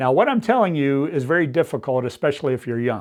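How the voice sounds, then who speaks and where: A man with a plain, everyday voice talks at a fairly quick pace in a medium pitch. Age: 60s. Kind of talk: teaching talk to pastors. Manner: conversational, informal.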